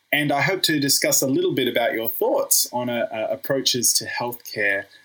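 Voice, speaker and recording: A man talks with an Australian accent. Noticeable background noise runs under his voice. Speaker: podcast host, physiotherapist. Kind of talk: interview.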